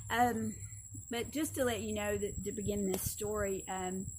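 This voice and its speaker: Audible room echo colors the voice of a woman speaking at a moderate pace. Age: 60s. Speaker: seminary instructor. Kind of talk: lecture. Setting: outdoors.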